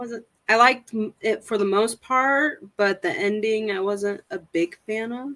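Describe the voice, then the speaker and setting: A woman with a slight Oklahoma accent speaks at a fairly slow pace with hardly any pauses, her fairly high voice bright and sharp, with ordinary pitch variation in a dry, close recording with no echo. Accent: slight Okie twang. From near Oklahoma, US. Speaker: RV dealership worker, book reader. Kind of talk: casual chat.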